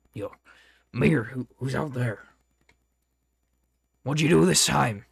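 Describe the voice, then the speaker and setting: Using a raspy put-on character voice, a man speaks at a fairly slow pace with medium pitch and lively intonation. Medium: actual play. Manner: suspicious, questioning.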